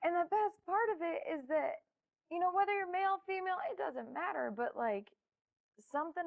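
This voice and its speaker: Her pitch swinging very widely, a woman talks at a fairly quick pace. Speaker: musician. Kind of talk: casual interview. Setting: studio.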